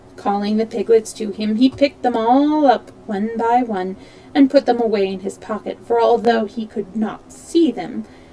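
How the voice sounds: In a natural reading voice, the pitch rises and falls with ordinary variation.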